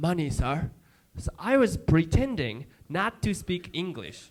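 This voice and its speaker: A man with a strong Japanese accent sounds animated, his high pitch swinging very widely. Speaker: comedian. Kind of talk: stand-up. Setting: stage with audience.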